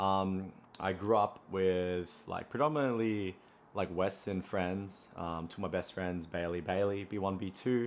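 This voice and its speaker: A man speaks with a strong Australian accent. His very deep, low voice keeps fairly even intonation. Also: fairly slow pace. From Australia, Brisbane. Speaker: running content creator. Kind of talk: casual vlog monologue. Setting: at home. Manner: casual, many fillers.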